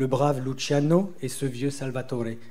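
Fairly slow speech from a man, somewhat breathy with a dark, mellow tone, a fairly high pitch and ordinary pitch variation. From southeastern France near Italy. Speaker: novelist. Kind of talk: reading aloud. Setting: stage with audience. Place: stage.

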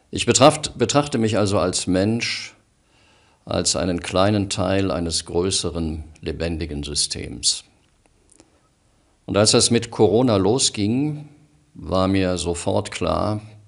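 A man's fairly low voice with lively intonation, a very slow pace and long, frequent pauses, over a quiet background. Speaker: radio presenter and news reader. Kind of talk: personal monologue to camera, emotional address. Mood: calm, earnest, measured. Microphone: studio mic.

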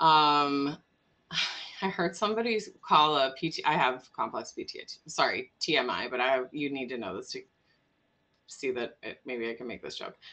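With an American accent, a woman speaks at a moderate pace in a very deep, low pitch, her bright, sharp tone showing lively intonation, big swings in loudness, and long, frequent pauses. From US Midwest, Wisconsin (Milwaukee area); Wisconsin. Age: 40s. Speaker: immigration lawyer and nonprofit co-founder; immigration lawyer. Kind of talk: casual interview. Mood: humorous, candid. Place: home room. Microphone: video call.

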